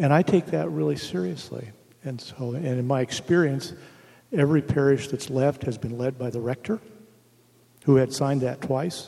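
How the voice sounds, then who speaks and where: At a moderate pace and medium pitch, a man speaks in an ordinary speaking voice with lively intonation. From Oregon. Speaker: retired bishop. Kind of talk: panel discussion.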